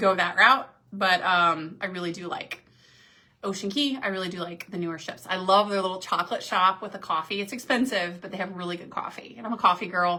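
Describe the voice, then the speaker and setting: A woman's animated voice at medium pitch, fairly quick, with ordinary pitch variation and big swings in loudness. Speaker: cruise vlogger and professor. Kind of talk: live stream Q&A. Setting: on a cruise ship. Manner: fast; casual, animated.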